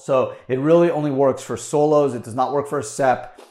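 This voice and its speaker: A man talks at a fairly quick pace in an enthusiastic tone. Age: 40s. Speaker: podcast host, tax attorney. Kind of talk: solo explainer monologue. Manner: casual, enthusiastic.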